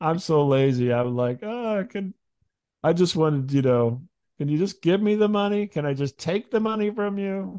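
Recorded dry and close with no echo, a speaker with an American accent talks at a moderate pace, with a dark, mellow tone and lively intonation. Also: man, high pitch for a man. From US Midwest. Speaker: comedy podcast host. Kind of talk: casual interview chat.

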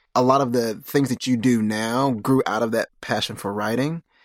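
Captured in a very clean recording with a silent background, a man speaks in an ordinary speaking voice at a medium pitch. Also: dry, close sound with no echo. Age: 30s. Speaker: podcast host. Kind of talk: interview.

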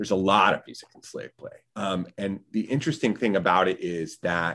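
At a moderate pace, a man uses an ordinary speaking voice with a fairly low pitch and lively intonation. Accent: American. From North Carolina, US South. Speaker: theater composer and sound designer. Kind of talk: interview conversation.

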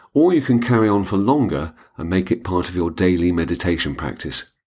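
Vocal fry and lively intonation mark a man's voice on a very clean recording with a silent background. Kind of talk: guided meditation. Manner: slow, soft-spoken, calm and soothing, with unhurried pauses.

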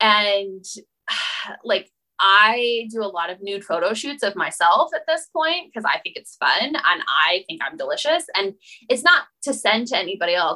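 A woman with a Western US accent, a bright, sharp tone and very wide pitch swings. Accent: American, Western US. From Utah, US. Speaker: boundary coach. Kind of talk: interview.

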